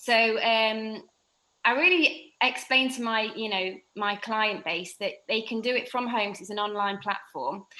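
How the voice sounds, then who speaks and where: Speaking fairly slowly with an English accent, a woman has a bright, sharp tone and a fairly high pitch. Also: ordinary pitch variation. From England. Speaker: fitness instructor with Crohn's disease. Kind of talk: podcast interview.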